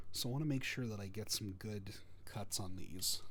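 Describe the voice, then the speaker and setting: Somewhat breathy and fairly low in pitch, a man's voice comes through with audible room echo. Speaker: model-building streamer. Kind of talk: casual live-stream tutorial. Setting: live stream at desk.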